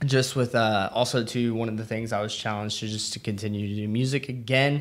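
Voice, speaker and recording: A man speaks at a fairly quick pace with fairly even intonation against noticeable background noise. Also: medium pitch for a man. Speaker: podcast co-host. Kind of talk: casual chat. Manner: rambling, hesitant with fillers.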